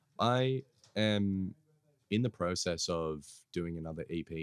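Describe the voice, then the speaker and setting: Very deep and low, a man's voice with an Australian accent moves at a very slow pace with long, frequent pauses, recorded dry and close with no echo. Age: 20s. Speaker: hip hop artist and producer. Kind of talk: casual chat.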